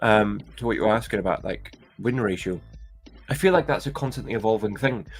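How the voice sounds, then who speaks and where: Over music in the background, a man with a slight Scottish accent talks at a fairly quick pace and medium pitch with lively intonation. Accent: light Scottish. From Scotland. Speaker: online seller and toy-buying vlogger. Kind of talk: live stream chat with viewers. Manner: hesitant, many fillers.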